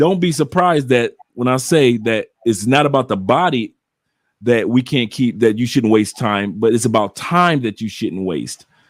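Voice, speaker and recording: Lively intonation and a moderate pace from a man with a normal speaking voice. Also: medium pitch for a man. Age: 60s. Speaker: travel content creator. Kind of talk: casual chat. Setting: live stream.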